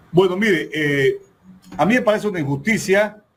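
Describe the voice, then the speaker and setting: A man's ordinary speaking voice, lively intonation, fairly slow pace. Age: 60s. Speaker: legal and political analyst, council member. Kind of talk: political interview.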